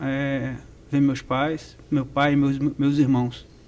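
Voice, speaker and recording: A man talks at a very slow pace with a fairly high pitch. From Rio de Janeiro, Brazil. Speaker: percussion professor. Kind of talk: interview.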